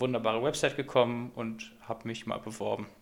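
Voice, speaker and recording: Noticeable background noise sits behind a man who speaks fairly quickly at a medium pitch with fairly even intonation. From Göttingen, Lower Saxony, Germany. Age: 20s. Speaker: physics student and student club chair. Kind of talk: casual interview chat.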